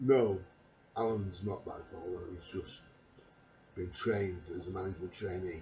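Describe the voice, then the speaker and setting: The speech is monotone and flat in intonation, with audible room echo. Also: man. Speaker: vlogger. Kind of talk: casual monologue. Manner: halting. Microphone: quiet recording level.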